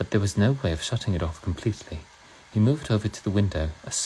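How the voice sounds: The delivery is a natural reading voice. It reads the text aloud.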